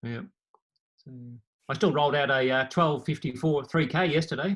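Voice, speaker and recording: A man with an Australian accent talks at a moderate pace in a fairly high pitch. His pitch variation is ordinary, while his loudness swings widely. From Australia, Victoria (Bendigo). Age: 60s. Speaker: former competitive runner. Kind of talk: casual interview chat.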